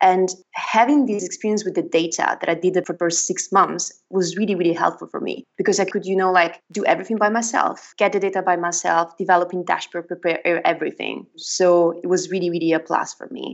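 A woman's fairly quick delivery, fairly even in intonation, with hardly any pauses. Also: medium pitch for a woman. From northern Italy. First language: Italian. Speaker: marketing executive. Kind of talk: interview answers, conversational.

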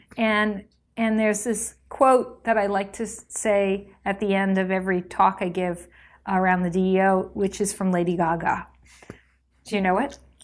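At a fairly slow pace, a woman with a medium pitch and fairly even intonation speaks in a plain, everyday voice, in a very clean recording with a silent background. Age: 50s. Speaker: design executive. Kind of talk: casual chat.

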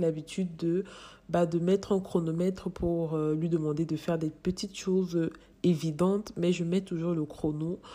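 Her tone is dark and mellow, and her pitch fairly low. The woman keeps fairly even intonation at a fairly slow pace. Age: young. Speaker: parenting educator and mother. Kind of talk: advice monologue.

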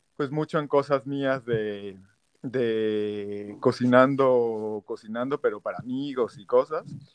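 In a dry, close recording with no echo, a man speaks very slowly at medium pitch with ordinary pitch variation. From Mexico, Tabasco. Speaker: chef. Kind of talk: interview.

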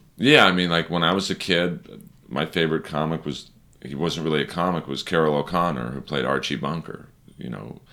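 With an American accent, a man talks at a fairly quick pace in a very deep, low pitch, his bright, sharp tone carrying vocal fry and ordinary pitch variation. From Los Angeles, California. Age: 40s. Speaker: stand-up comedian. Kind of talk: casual chat.

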